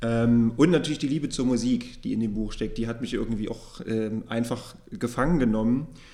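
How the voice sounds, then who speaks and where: A man speaks at a moderate pace with a medium pitch, a dark, mellow tone and ordinary pitch variation. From eastern Germany. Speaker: podcast host and publishing editor. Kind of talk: book podcast interview; scripted introduction.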